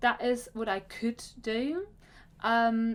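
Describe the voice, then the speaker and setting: This is a woman's voice. Her pitch is high. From Germany. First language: German. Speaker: career coach. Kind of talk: vlog talk to camera. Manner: halting, with self-corrections.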